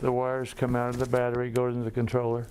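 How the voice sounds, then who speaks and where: Amid noticeable background noise and audible room echo, a man speaks very fast at medium pitch in a flat monotone. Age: 70s. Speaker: heart patient. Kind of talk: testimony.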